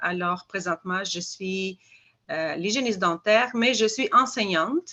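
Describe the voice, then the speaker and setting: Speaking at a fairly slow pace, a woman has a bright, sharp tone, a medium pitch and ordinary pitch variation. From Albania. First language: Albanian (speaking French). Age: 50s. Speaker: dental hygiene teacher. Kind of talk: product testimony presentation. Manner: halting, many hesitations.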